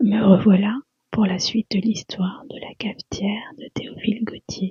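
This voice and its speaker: The voice is whispering. It stays soft-spoken throughout. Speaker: ASMR narrator. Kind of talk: sleep story. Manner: whispered, soft.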